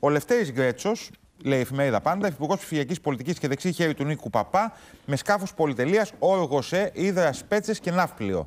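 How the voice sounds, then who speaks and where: Fairly quick and with lively intonation, a man is talking. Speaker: TV morning show co-host. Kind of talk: news talk show hosting. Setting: TV studio. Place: studio.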